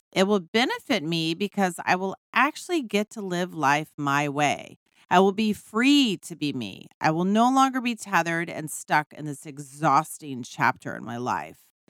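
In a very clean recording with a silent background and a dry, close sound with no echo, a woman with a fairly low pitch speaks at a moderate pace in an animated tone, with very wide pitch swings and big swings in loudness. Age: middle-aged. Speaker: podcast host, midlife coach. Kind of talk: monologue.

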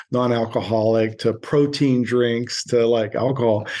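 A man with an American accent speaks in a flat monotone. His pace is fairly slow. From US Midwest (Pittsburgh, then Youngstown, Ohio). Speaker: beverage company founder. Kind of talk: interview. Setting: remote call.

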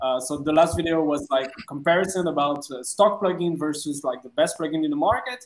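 A man talks with a French accent at a moderate pace. His pitch is fairly high. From France. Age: 30s. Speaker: DJ and music producer. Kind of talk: casual interview. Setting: video call. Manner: halting.

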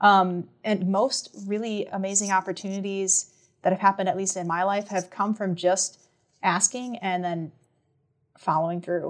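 A woman speaks with a Minnesota accent at a medium pitch. Her intonation stays fairly even and her pace is moderate. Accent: northern US (Minnesota), getting thicker. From Minnesota (small town, south central). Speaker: music professor and band conductor. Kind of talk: interview conversation.

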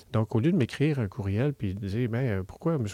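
Dark and mellow in tone, a man's fairly low voice moves with ordinary pitch variation, the sound dry and close with no echo on a very clean recording with a silent background. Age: 50s. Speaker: university professor and researcher. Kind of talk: interview. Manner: halting, frequent repetitions and fillers.

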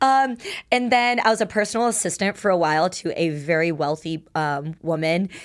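On a very clean recording with a silent background, a woman with an unremarkable speaking voice talks at a moderate pace, her fairly low pitch carrying lively intonation. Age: 30s. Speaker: adult film performer. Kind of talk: casual chat. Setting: studio.

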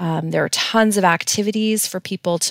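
The sound is dry and close, with no echo. Delivery comes at a moderate pace with fairly even intonation. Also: woman. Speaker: social worker. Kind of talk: interview conversation. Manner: halting, many fillers.

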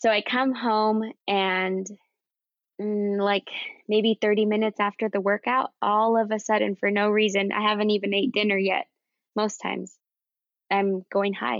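Speaking at a moderate pace with long, frequent pauses, a woman keeps a medium pitch, monotone, flat intonation and very even loudness. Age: 30s. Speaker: guest with type one diabetes. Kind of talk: casual interview.

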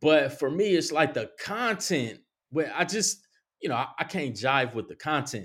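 A man with an American accent and an unremarkable speaking voice talks at a moderate pace with lively intonation, on a very clean recording with a silent background. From Compton, California. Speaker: artist and social worker. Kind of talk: casual chat.

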